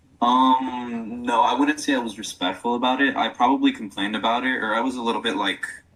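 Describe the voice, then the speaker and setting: Amid noticeable background noise, a man speaks at a very fast pace with fairly even intonation. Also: medium pitch for a man. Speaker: podcast guest talking about toxic masculinity. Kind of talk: casual chat. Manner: halting.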